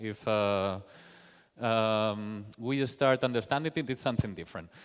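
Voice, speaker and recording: Pitch moves with ordinary variation. The speech goes at a moderate pace. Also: man. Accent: Spanish. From Spain. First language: Spanish. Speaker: software developer, conference speaker. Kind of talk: conference talk. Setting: stage with audience. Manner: halting, with fillers.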